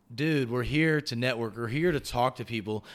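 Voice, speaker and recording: The speaker talks at a very fast pace with a Texan accent. The recording is very clean, with a silent background. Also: man. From Texas, rural area northwest of Houston. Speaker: podcast host and guest. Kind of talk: casual interview chat.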